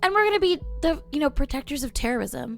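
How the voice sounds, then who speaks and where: A woman speaks at a fairly quick pace with very wide pitch swings. Music plays in the background. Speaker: gaming streamer. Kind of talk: live gameplay commentary. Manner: fast; casual, chatty.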